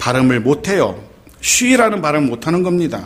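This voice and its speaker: Over audible room echo, a man with a fairly high pitch speaks at a moderate pace with very wide pitch swings. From Seoul (born in Gyeongsang region). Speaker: pastor. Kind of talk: sermon.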